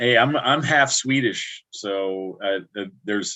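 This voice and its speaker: An American accent marks this man's speech, which has a medium pitch and ordinary pitch variation. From upstate New York (Albany area, Catskills). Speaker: livestream host. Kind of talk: casual chat. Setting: livestream.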